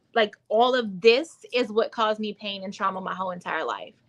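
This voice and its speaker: With an ordinary speaking voice, a woman speaks at a moderate pace in an American accent, her pitch fairly high with ordinary pitch variation. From US South. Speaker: womb wellness coach, author. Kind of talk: livestream testimony. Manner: casual, filler-heavy.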